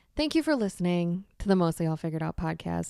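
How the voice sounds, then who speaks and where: On a very clean recording with a silent background, a woman with a fairly low pitch and a dark, mellow tone speaks with lively intonation. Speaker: podcast host. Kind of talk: casual monologue. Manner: slow and calm with pauses.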